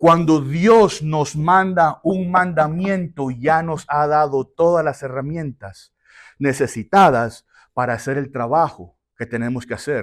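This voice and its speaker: Very slowly, a man with a fairly high pitch speaks with ordinary pitch variation on a very clean recording with a silent background. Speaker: pastor. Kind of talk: sermon.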